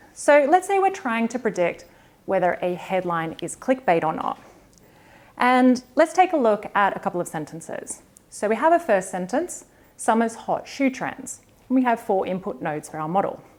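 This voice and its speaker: A woman speaks in an Australian accent at a moderate pace. Her fairly high pitch moves in very wide swings. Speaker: data science developer advocate. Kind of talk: conference talk.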